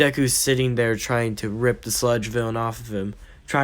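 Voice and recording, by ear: A passage is read aloud in a natural voice. Fairly even intonation marks the delivery.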